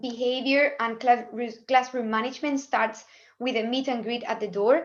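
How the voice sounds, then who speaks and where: A woman with a high voice and a Spanish accent, set against a quiet background. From Spain, Cádiz. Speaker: language teacher. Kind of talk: webinar presentation. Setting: video call.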